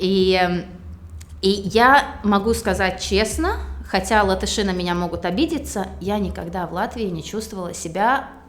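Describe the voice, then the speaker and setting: A woman speaks at medium pitch and a moderate pace with ordinary pitch variation, amid noticeable background noise and audible room echo. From Latvia, Riga. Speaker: surf school owner and instructor. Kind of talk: podcast interview. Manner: hesitant, with frequent fillers.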